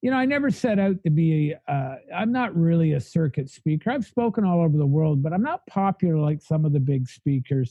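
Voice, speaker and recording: Fairly high-pitched, a man talks at a fairly quick pace with lively intonation. His loudness stays very even. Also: hardly any pauses. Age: 60s. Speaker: recovery sponsor and speaker. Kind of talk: interview conversation. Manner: energetic, blunt.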